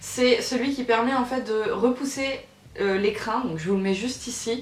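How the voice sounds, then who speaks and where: A woman speaks at a high pitch with ordinary pitch variation. Noticeable background noise and audible room echo fill the recording. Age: 20s. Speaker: YouTuber. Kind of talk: Q&A vlog. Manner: hesitant, many fillers.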